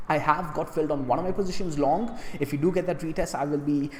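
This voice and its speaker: Over noticeable background noise, the speaker goes at a very fast pace. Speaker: crypto trading video host. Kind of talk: casual trading commentary. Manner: fast talker; speaks fast as his normal way of speaking.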